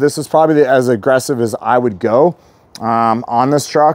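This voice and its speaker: A man at a moderate pace, dry sound with no echo. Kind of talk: casual product walkaround. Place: street.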